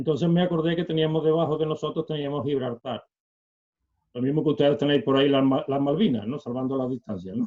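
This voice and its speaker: The pitch rises and falls in an ordinary way. The talking goes very fast. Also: man, fairly high pitch for a man. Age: 60s. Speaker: retired bank employee and celiac association volunteer. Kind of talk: interview. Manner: halting, many fillers.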